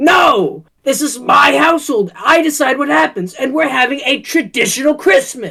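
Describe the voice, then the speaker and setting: The voice is a put-on character voice with a high pitch. It moves at a moderate pace with hardly any pauses. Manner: angry, shouting.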